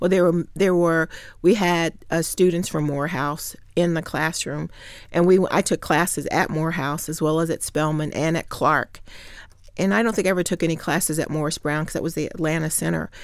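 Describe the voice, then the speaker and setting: A woman with a Midwestern US accent, fairly low in pitch and fairly quick in pace, with fairly even intonation, in a very clean recording over a silent background. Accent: US Midwest. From Ohio, Hamilton. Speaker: state senator and former mayor. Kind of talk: interview.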